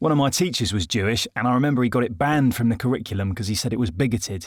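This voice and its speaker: A man talks at a very fast pace in a medium-pitched voice. His intonation is lively. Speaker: comedian, voice actor, army veteran. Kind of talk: first-person comedic narration.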